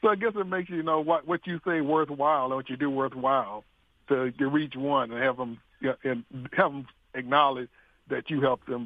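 A fairly quick delivery in a Southern US accent, with ordinary pitch variation. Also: man. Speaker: radio show caller. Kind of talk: casual call-in chat. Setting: phone call.

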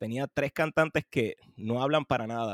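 A man talks at a fairly slow pace with ordinary pitch variation, and the sound is dry and close with no echo. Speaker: composer. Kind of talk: casual chat.

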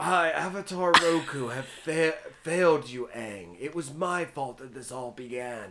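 In a put-on character voice, the speaker sounds guttural at a low-to-middle pitch. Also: moderate pace. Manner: solemn, regretful.

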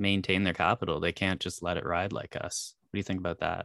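A man with a Canadian accent talks at a fairly quick pace in a very deep, low pitch. The recording is very clean with a silent background and a dry, close sound with no echo. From Canada. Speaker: finance podcast host. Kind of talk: casual interview.

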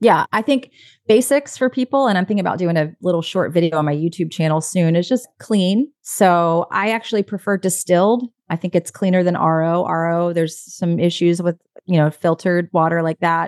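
A normal speaking voice at a fairly quick pace, with ordinary pitch variation, a quiet background and a dry, close sound with no echo. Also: woman, fairly low pitch for a woman. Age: 40s. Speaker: quantum health coach. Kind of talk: casual chat.

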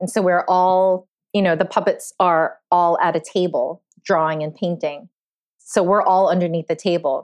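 A woman with an American accent has a plain, everyday voice of medium pitch. She talks at a moderate pace with fairly even intonation. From New York City (Queens). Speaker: puppeteer. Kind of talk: interview.

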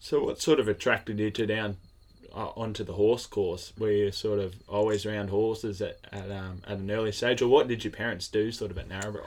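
Speaking fairly quickly with an Australian accent, a man keeps a fairly low pitch and a monotone, flat intonation. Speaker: podcast host. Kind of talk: casual interview. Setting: at a showground.

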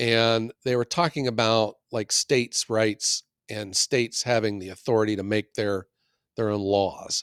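This man has an unremarkable speaking voice, medium in pitch, with fairly even intonation. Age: 50s. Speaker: firewood business owner, podcast co-host. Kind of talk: casual chat.

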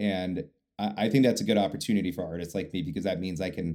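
In a very clean recording with a silent background, a man with a dark, mellow tone speaks at a fairly quick pace with ordinary pitch variation. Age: 30s. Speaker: singer-songwriter. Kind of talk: interview.

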